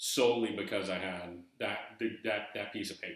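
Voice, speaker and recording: Audible room echo colors a man's fairly low, bright, sharp voice as he talks at a moderate pace. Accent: slight Southern US. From eastern North Carolina, US South. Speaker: YouTuber discussing treasure hunt book. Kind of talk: casual video monologue. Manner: halting, repeating words.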